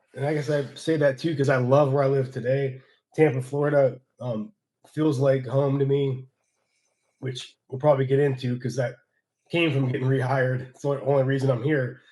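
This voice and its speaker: At a moderate pace, a somewhat breathy voice speaks with an American accent. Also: man, long, frequent pauses. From Northeast Ohio, near Youngstown. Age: 40s. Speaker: former pro wrestler. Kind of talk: interview conversation. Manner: halting, many fillers and restarts.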